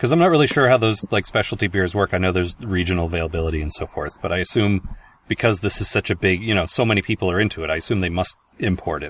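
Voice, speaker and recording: Very fast speech from a man with a very deep, low pitch and ordinary pitch variation. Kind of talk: comedy sketch, mock pizza-and-garbage ad improvised with co-host. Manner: giggly, playing along with a mock huckster pitch, breaking into laughter.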